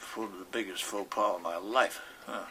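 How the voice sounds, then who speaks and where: A man talks with a Pittsburgh accent. Background noise is noticeable. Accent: western Pennsylvania (Pittsburgh). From Pittsburgh, East Liberty. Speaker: war veteran. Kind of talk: interview, personal war recollections. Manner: halting, with many repetitions and false starts.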